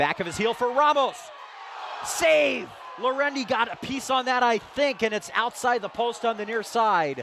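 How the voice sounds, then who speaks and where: Noticeable background noise sits under a voice moving at a fairly slow pace. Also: man. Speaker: soccer play-by-play broadcaster. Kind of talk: live sports play-by-play commentary.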